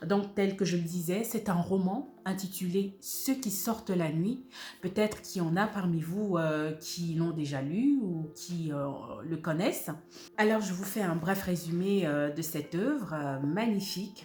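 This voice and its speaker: With music in the background, a woman talks at a fairly low pitch and a fairly slow pace, with ordinary pitch variation. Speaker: voice-over actress, audiobook narrator. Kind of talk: book review presentation to camera.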